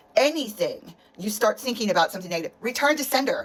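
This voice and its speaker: A woman talks at a very fast pace in a passionate, animated tone. Her intonation is lively, and noticeable background noise is present. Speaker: energy practitioner. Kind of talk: motivational monologue. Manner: passionate, forceful.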